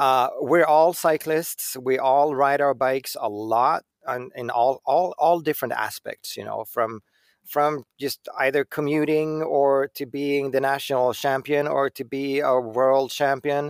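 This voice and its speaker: A man talks at a fairly slow pace in a Swedish accent, his intonation fairly even. The recording is very clean, with a silent background. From Sweden. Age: 40s. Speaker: bicycle designer. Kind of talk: casual interview. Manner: halting, repeats words.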